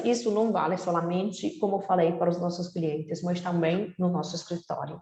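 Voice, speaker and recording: A woman speaks with a non-native accent. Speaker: real estate company representative. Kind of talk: webinar presentation.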